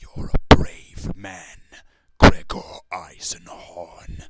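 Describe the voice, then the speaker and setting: In a growling put-on character voice, a man speaks at a very slow pace with a very deep, low pitch. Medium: read story. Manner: arrogant, sneering.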